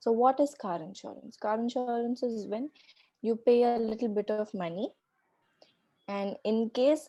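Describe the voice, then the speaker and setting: A woman's fairly high-pitched voice with a dark, mellow tone, fairly even intonation, and a fairly slow pace. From India, Mumbai. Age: 20s. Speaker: pricing manager, actuary. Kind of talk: talk to school class.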